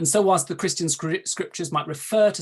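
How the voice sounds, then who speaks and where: A man speaks with a Welsh accent. His voice is somewhat breathy, and the background is quiet. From South Wales. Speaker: archdeacon. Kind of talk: panel talk. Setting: video call.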